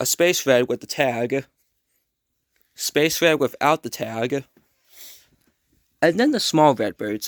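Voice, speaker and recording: Delivered at a fairly slow pace with lively intonation, the voice sounds dry and close with no echo on a very clean recording with a silent background. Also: man. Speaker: YouTuber, toy collector. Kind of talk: collection showcase video. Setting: at home at night. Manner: soft-spoken; halting.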